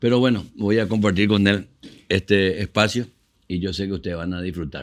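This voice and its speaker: Speaking at a moderate pace, a man with a fairly low pitch shows ordinary pitch variation in a very clean recording against a silent background. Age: 60s. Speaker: musician and show host. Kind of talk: casual interview chat.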